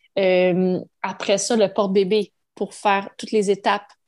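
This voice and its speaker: A woman speaks in a Quebec accent at a medium pitch. Her intonation stays monotone and flat over a quiet background. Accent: Québécois French. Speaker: mother, podcast guest. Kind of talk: casual interview.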